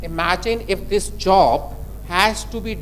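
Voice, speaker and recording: A man speaks in an Indian accent. Noticeable background noise sits behind him. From India, Delhi. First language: Hindi. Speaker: conference speaker. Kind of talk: technical presentation.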